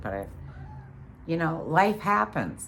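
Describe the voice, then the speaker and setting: Audible room echo around a woman's moderately paced speech. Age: 50s. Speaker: vlogger. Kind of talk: casual monologue. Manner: halting.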